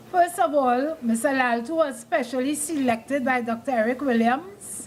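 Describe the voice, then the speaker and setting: Over noticeable background noise, a woman speaks at a high pitch and a moderate pace with ordinary pitch variation. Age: 70s. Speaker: school alumna giving history. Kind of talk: speech at a reunion.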